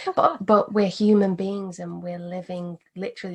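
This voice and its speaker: A woman speaks at a moderate pace in a calm, somewhat breathy voice with monotone, flat intonation. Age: 20s. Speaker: meditation teacher. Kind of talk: interview.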